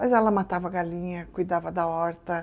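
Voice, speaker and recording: A woman speaks in a normal speaking voice at a fairly low pitch. Her intonation is fairly even, and the background is quiet. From southern Brazil, Rio Grande do Sul. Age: 60s. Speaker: business owner. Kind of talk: interview.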